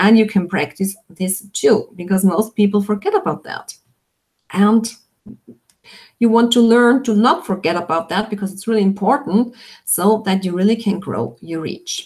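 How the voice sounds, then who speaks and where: Somewhat breathy, a woman talks with a non-native accent. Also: medium pitch for a woman, ordinary pitch variation, moderate pace. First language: not English. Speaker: online business coach. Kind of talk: live webinar Q&A. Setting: live video stream.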